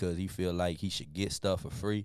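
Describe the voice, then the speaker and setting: With music in the background, a man speaks in a very deep, low voice with fairly even intonation. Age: 30s. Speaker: podcast host. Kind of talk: casual interview.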